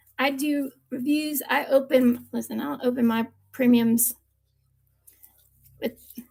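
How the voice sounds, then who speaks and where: Speaking at a fairly slow pace, a woman with an American accent has a high pitch. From US East Coast, Virginia Beach. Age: 40s. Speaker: live-stream seller of diecast cars. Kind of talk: live-stream sales chat. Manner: animated.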